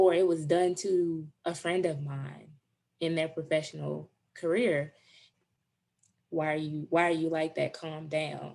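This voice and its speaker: A woman speaks in a very deep, low voice with flat, monotone intonation and long, frequent pauses. The recording is very clean, with a silent background. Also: fairly slow pace. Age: 30s. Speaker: diversity advocate. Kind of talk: interview answer.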